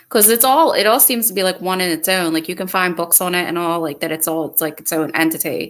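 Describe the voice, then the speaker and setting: Very fast and with hardly any pauses, a woman with a Philadelphia accent speaks at a fairly low pitch on a very clean recording with a silent background. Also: ordinary pitch variation. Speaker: podcast host. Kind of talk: casual chat.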